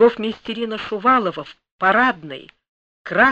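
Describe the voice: Plain reading aloud with fairly even intonation, over a quiet background.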